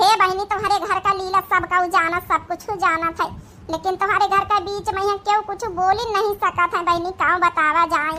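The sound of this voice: In a cartoonish character voice pitched extremely high, a woman speaks at a moderate pace in a flat monotone with hardly any pauses, over clear background noise.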